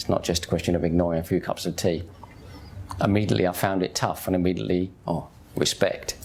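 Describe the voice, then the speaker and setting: A man with a very deep, low pitch at a very fast pace. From East End of London, Hackney. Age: 50s. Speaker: convert to Islam sharing his story. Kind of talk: personal testimony. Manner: casual, conversational.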